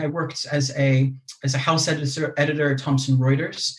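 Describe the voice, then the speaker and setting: A man with an American accent talks at a fairly quick pace and fairly high pitch, sounding somewhat breathy. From United States. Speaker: mindfulness teacher and literature lecturer. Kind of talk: podcast interview.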